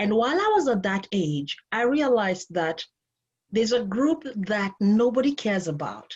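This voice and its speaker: A woman with a Kenyan accent, her fairly high, somewhat breathy voice making very wide pitch swings at a moderate pace. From Kenya, Nairobi. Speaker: life and relationship coach. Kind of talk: interview conversation.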